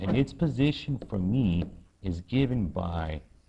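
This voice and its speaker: With very wide pitch swings, a man's fairly low voice carries a dark, mellow tone and vocal fry. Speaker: math teacher. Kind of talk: tutorial.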